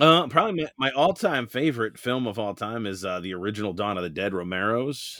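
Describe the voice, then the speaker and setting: A man with an unremarkable speaking voice at medium pitch, talking at a fairly quick pace with lively intonation and hardly any pauses. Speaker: YouTube hobbyist creator. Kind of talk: casual chat.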